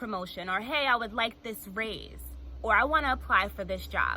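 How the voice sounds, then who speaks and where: A woman speaks fairly quickly at a fairly high pitch, with a bright, sharp tone and vocal fry. Her pitch varies in an ordinary way. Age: 20s. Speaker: motivational speaker. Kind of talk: motivational talk.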